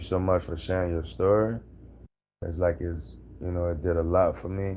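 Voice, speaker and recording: In an American accent, the voice sounds calm, with a dark, mellow tone. Its intonation is monotone and flat. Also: man. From Louisiana, New Orleans area. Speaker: hurricane survivor, former Marine. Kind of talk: interview testimony.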